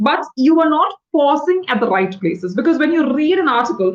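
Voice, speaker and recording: Very wide pitch swings in a woman's voice set high. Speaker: English tutor. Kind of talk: tutorial. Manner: fast.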